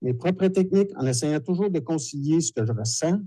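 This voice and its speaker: The speaker's dark, mellow tone comes out somewhat breathy at a moderate pace, with ordinary pitch variation. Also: man. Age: 60s. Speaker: dowser and TV technician. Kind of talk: lecture. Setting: conference hall with audience.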